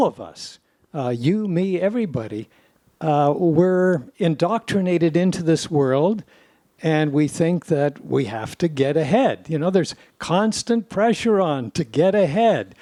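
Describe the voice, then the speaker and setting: With a Canadian accent, the speaker talks at a fairly slow pace in a dark, mellow tone with lively intonation, captured in a dry, close sound with no echo. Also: man, high pitch for a man. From Canada, Toronto. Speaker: podcast co-host, former lawyer and judge. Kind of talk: casual conversation.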